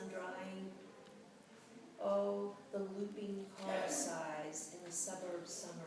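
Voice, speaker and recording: A woman with a medium pitch speaks at a very slow pace over noticeable background noise. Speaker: poet; creative writing teacher. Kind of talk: poetry reading. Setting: live event, small room.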